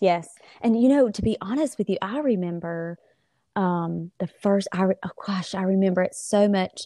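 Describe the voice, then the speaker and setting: A woman with a Southern US accent speaks at a moderate pace in a medium pitch, with ordinary pitch variation and a dark, mellow tone. The sound is dry and close with no echo, over a quiet background. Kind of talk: casual interview chat.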